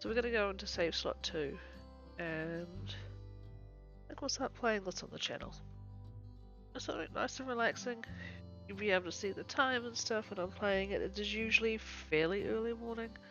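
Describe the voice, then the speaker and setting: The speaker is soft-spoken, with long, frequent pauses. Music plays in the background. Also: moderate pace. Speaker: gameplay streamer. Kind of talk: casual gameplay commentary.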